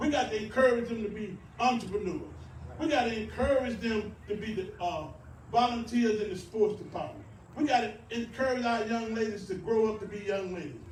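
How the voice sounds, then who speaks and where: A man with a high voice talks at a fairly quick pace and ordinary pitch variation, with noticeable background noise and audible room echo. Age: 60s. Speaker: mayoral candidate. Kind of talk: campaign speech. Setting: rally with audience. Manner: animated.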